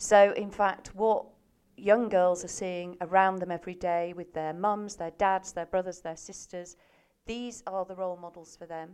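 A woman has a plain, everyday voice at medium pitch with fairly even intonation. Her pace is moderate on a very clean recording with a silent background. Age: 50s. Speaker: charity research head. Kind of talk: interview.

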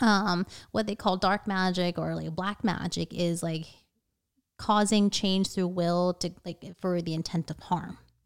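Over a silent background in a very clean recording, a woman with a General American accent speaks at a medium pitch and a fairly slow pace with monotone, flat intonation. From US, Northern Virginia. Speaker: witch and tarot reader. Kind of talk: casual interview.

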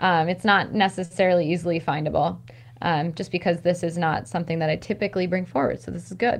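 Over a quiet background, a woman with an American accent talks very fast at a fairly low pitch, with vocal fry and fairly even intonation. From US, rural Maryland. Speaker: stress management coach. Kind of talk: casual interview.

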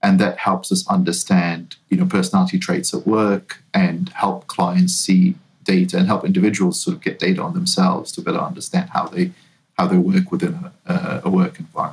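Speaking in a New Zealand accent, a man has a fairly low pitch and very wide pitch swings. His pace is fairly quick. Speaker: talent management consultant. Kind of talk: interview. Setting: remote call.

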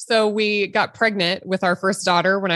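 A woman speaks with a Midwestern US accent. Her tone is bright and sharp. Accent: US Midwest. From Nebraska. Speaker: obstetrician-gynecologist. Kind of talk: interview.

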